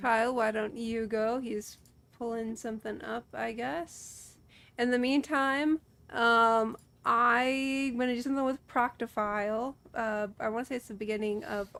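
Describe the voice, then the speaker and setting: In a very clean recording with a silent background, a woman with a Midwestern accent and fairly high pitch speaks at a fairly slow pace with fairly even intonation. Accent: Midwest. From Illinois, US Midwest. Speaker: streamer guest. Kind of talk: casual chat.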